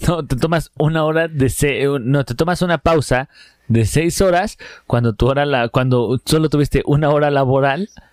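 The man's voice is fairly high, with ordinary pitch variation and very even loudness at a moderate pace. The very clean recording has a silent background and a dry, close sound with no echo. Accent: Mexican. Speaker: comedy podcast co-host. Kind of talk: casual chat.

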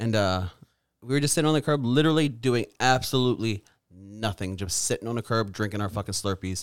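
A man with an American accent at medium pitch, ordinary pitch variation and a very fast pace, on a very clean recording with a silent background. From Maryland, Edgewood. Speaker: podcast co-host. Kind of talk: casual chat.

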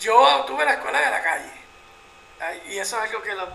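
Over noticeable background noise, a man with a high pitch speaks at a very fast pace. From Puerto Rico. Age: 50s. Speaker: photojournalist. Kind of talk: interview.

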